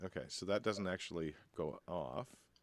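A man's low-pitched voice at a moderate pace, with ordinary pitch variation.

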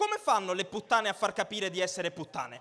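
With an animated tone, a man uses a raised, projected voice that swings very widely in pitch. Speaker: stand-up comedian. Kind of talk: stand-up comedy, crowd-work banter and irreverent jokes. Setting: stage with audience. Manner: animated, cheeky, provocative, teasing the audience. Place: stage. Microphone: handheld.

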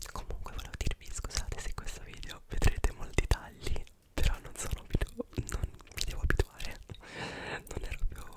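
A whispering man, moderately paced. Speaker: ASMR creator. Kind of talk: casual talk to camera. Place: home room. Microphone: studio mic.

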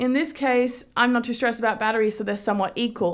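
Against a quiet background, a woman speaks at a very fast pace with fairly even intonation. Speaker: tech reviewer. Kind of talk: casual review vlog. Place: home room. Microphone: phone near.

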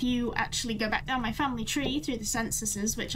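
A woman talks with ordinary pitch variation against noticeable background noise. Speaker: livestreamer. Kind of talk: casual stream chat.

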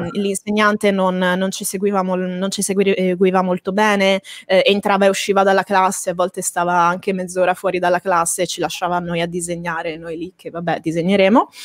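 A woman talks at a moderate pace in a monotone, flat intonation. The background is quiet and the sound is dry with no echo. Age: 20s. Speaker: manga artist and school director; guest. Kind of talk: interview. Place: home room. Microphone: studio mic.

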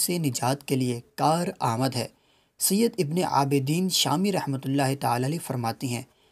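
The recording is very clean, with a silent background. A man with a fairly high pitch talks in a somewhat breathy way. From Pakistan. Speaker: voice over artist. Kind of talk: religious narration.

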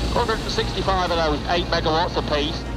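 A man speaks with clear music in the background. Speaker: TV presenter. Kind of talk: documentary presenter commentary. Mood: amused, impressed. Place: plane. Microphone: headset.

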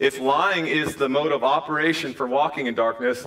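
A man's intonation is lively, with a quiet background behind him. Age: 40s. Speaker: pastor. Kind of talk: sermon; church stage interview. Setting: church. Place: church.

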